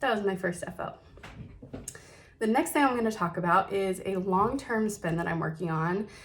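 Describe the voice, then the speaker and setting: Somewhat breathy and medium in pitch, a woman speaks at a moderate pace with ordinary pitch variation and long, frequent pauses. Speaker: knitting podcaster. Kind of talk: casual chat.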